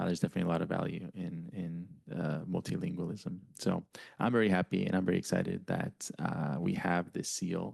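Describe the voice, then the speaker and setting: At a very deep, low pitch, a man talks at a fairly quick pace. His intonation stays fairly even. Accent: Spanish. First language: Spanish. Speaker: board president chairing meeting. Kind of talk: public board meeting.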